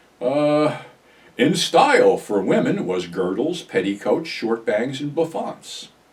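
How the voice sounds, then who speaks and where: Against noticeable background noise, a man speaks very slowly at a fairly high pitch. His pitch swings very widely. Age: 70s. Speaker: YouTuber, ex-wrestling personality. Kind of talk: casual monologue vlog. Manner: casual, conversational.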